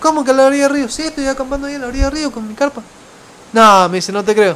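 A man speaks in an Argentine accent over noticeable background noise. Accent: Argentine, noticeable abroad. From Argentina. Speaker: travel podcaster. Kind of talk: casual storytelling monologue. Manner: halting, with many fillers and repetitions.

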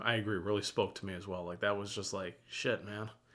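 At a moderate pace, a man with a fairly low pitch speaks in a bright, sharp tone with fairly even intonation. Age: 20s. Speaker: movie podcast co-host. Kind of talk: casual chat.

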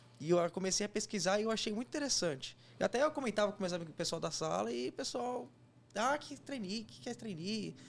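Over a silent background in a very clean recording, a man talks at a very fast pace with lively intonation. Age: 20s. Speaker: engineer and job candidate. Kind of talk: casual interview.

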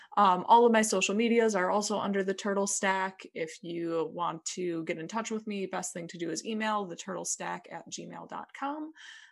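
With an ordinary speaking voice, a woman talks at a moderate pace with hardly any pauses, her pitch medium with ordinary variation, her loudness swinging widely over a quiet background. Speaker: podcaster guest. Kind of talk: casual interview chat.

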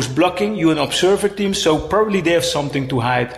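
With noticeable background noise behind him, a man talks very fast at a fairly high pitch. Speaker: activist spokesperson. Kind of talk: interview. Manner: halting.

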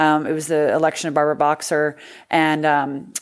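A woman with a very deep, low pitch and a Californian accent. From rural Northern California. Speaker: political candidate. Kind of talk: interview.

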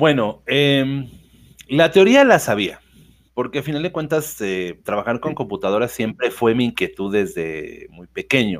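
On a very clean recording with a silent background, a man of medium pitch speaks at a fairly slow pace, with very wide pitch swings and big swings in loudness. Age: 40s. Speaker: business founder. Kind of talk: interview. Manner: halting, many repetitions.

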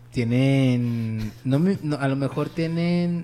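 A man with a medium-pitched voice speaks with lively intonation over noticeable background noise. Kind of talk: casual chat. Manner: casual, slangy.

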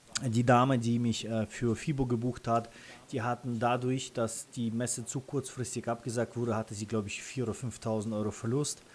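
This man speaks with a Russian accent. His pitch is medium and his pace moderate. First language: Russian (speaking German). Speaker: freelance photographer and content creator. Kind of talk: interview. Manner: hesitant with many fillers.

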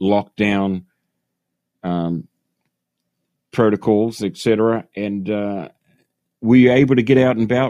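A man speaks in a New Zealand accent at a fairly slow pace, his pitch fairly low and his tone dark and mellow, with ordinary pitch variation. The sound is dry and close with no echo, over a quiet background. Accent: New Zealand, still retained. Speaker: podcast host. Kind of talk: casual interview chat. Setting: phone call.

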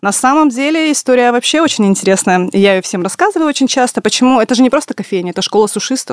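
Words come out at a very fast pace. Pauses hardly appear at all. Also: woman, high pitch for a woman. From Russia, Tyumen. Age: 30s. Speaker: entrepreneur, café and delivery restaurant co-founder. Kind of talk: radio interview. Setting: radio studio.

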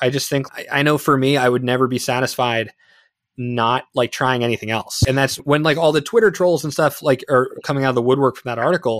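A man with an American accent and a normal speaking voice talks fairly quickly at a medium pitch with ordinary pitch variation. The very clean recording has a silent background and a dry, close sound with no echo. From New Jersey, East Brunswick. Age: 20s. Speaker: filmmaker. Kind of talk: casual interview chat.

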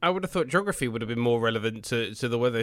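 In a British accent, a man speaks at a medium pitch. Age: 20s. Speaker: podcast host. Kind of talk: casual interview chat.

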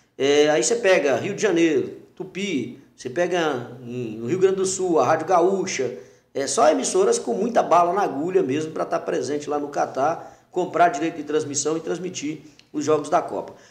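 A man talks in a fairly high voice at a moderate pace. The room adds audible echo. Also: ordinary pitch variation. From Brazil, Teófilo Otoni, Minas Gerais. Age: 40s. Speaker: radio announcer and journalist. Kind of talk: casual interview.

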